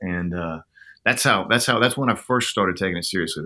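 A man with an American accent speaks in a bright, sharp tone with ordinary pitch variation, on a very clean recording with a silent background. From Oklahoma. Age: 50s. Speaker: songwriter. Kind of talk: interview.

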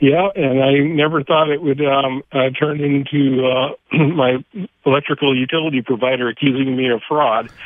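A man talks at a moderate pace with fairly high pitch. He has a normal speaking voice. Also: fairly even intonation. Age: 60s. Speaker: caller, homeowner restoring a house. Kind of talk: call-in conversation. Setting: phone call.

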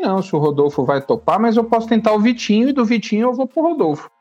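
Speaking at a fairly quick clip, a man with a high voice lets his pitch swing very widely. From São Paulo city, Brazil. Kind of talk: casual chat.

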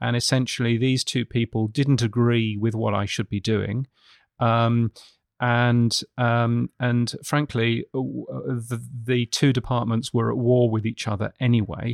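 In a British accent, a man speaks fairly slowly in a flat monotone, with a dry, close sound and no echo. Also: medium pitch for a man, quiet background. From United Kingdom. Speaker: radio futurologist. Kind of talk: interview. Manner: halting.

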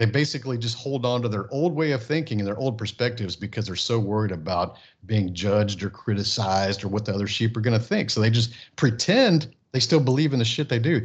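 Somewhat breathy, this voice talks at a very fast pace with an American accent against a quiet background. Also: man. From Texas, Houston area. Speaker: entrepreneur and business coach. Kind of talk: casual interview.

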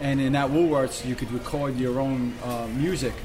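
With a New York accent, the speaker goes at a moderate pace in a fairly even intonation, with audible room echo and noticeable background noise. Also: man. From Brooklyn, New York. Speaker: graffiti artist and restaurant owner. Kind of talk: casual interview. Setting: restaurant.

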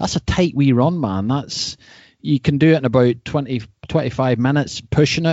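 With a Northern Irish accent, a man talks at a moderate pace and medium pitch, his pitch varying in an ordinary way. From Northern Ireland, North Coast. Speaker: mountain bike podcast host, surfer. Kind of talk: casual interview chat.

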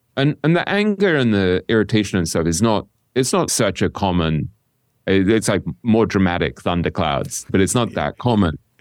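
This is an ordinary speaking voice at a moderate pace. Its intonation is lively and its loudness very even. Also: man, fairly low pitch for a man, dry, close sound with no echo. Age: 50s. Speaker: author and podcast host on investing. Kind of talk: interview conversation. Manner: reflective, thinking aloud with restarts.

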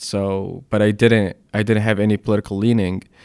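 With an Arabic accent, the speaker holds a monotone, flat intonation on a very clean recording with a silent background. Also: man. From Egypt, Alexandria. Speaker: documentary photographer. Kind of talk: interview.

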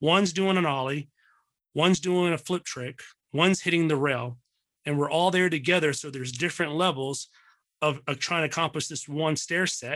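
The speaker has an American accent and a moderate pace. Intonation stays fairly even over a quiet background. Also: man, fairly high pitch for a man. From Texas, Dallas area. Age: 30s. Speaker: apparel brand founder. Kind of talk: casual interview chat. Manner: halting, many fillers.

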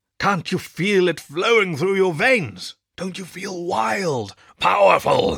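A man's growling, put-on character voice, high in pitch and fairly slow in pace

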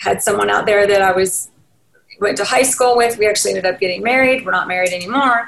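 A woman with a Southern US accent, talking at a very fast pace. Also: medium pitch for a woman, ordinary pitch variation, very even loudness. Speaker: real estate agent. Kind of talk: interview. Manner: casual, rambling with self-corrections.

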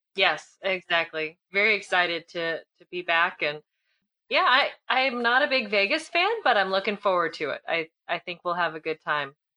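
The woman has an unremarkable speaking voice at medium pitch with lively intonation. She talks at a moderate pace, and the sound is dry and close with no echo. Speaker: podcast co-host. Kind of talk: casual chat.

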